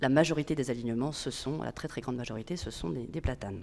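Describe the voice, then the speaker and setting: Her pitch is very deep and low for a woman, with lively intonation. She talks at a very fast pace. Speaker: public agency manager. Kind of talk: conference talk. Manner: hesitant.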